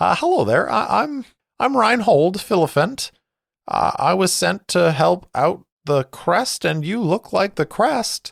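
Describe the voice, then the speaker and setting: A man puts on a squeaky character voice, high in pitch with very wide swings, delivered at a fairly slow pace in a dry, close sound with no echo. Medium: actual play. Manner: hesitant, stammering, spacey.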